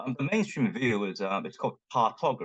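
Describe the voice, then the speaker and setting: A man's fairly high-pitched voice with a Cantonese accent, vocal fry, very wide pitch swings, and a very fast pace, in a dry, close sound with no echo. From Hong Kong. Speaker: linguist and Chinese language teacher. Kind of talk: conference talk. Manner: halting, many fillers.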